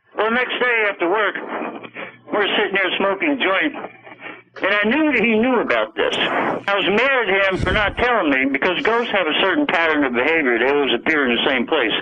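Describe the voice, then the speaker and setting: A man's high pitch with very wide pitch swings, hardly any pauses and very even loudness, over noticeable background noise. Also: moderate pace. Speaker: ex-Marine combat veteran, roofer. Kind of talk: phone-in caller telling a story. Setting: phone line. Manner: rambling, hesitant.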